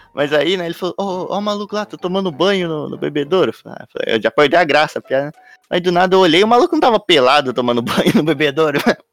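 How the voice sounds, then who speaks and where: The voice moves at a very fast pace with lively intonation and big swings in loudness, the sound dry and close with no echo. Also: man, high pitch for a man. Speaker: podcast co-host. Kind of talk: casual chat.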